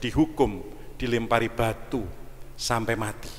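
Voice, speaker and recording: This is a man with a medium pitch. He talks at a very slow pace. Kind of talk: sermon. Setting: church.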